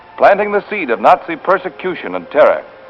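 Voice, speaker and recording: Background music plays throughout. Over it, a man talks at a fairly quick pace. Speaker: newsreel narrator. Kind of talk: 1940s newsreel narration. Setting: vintage archival recording. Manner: sardonic, punchy.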